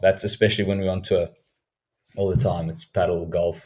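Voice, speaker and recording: A man speaks with a South African accent. His tone is dark and mellow. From South Africa, Cape Town. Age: 20s. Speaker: professional cricketer. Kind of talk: podcast interview.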